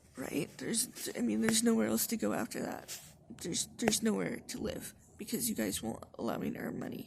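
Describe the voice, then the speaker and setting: Over noticeable background noise, a soft-spoken woman talks. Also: fairly quick pace. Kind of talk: casual talk to camera. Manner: quiet, soft-spoken.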